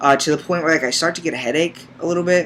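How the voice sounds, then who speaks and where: The speaker is a man. Fairly even intonation runs through his speech. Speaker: vlogger. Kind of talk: personal vlog. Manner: hesitant, many fillers.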